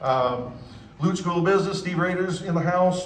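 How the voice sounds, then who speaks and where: Audible room echo and noticeable background noise fill the space. In it, a man speaks at a fairly quick pace. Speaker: university official. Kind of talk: ceremony speech acknowledgments. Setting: public event with audience. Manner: fast; casual, animated.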